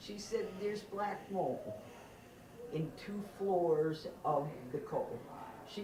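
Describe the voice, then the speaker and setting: A woman with an American accent speaks at a medium pitch with ordinary pitch variation. Room echo and background noise are both noticeable. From western Massachusetts. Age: 60s. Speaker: resident giving public comment. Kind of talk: public comment at town meeting.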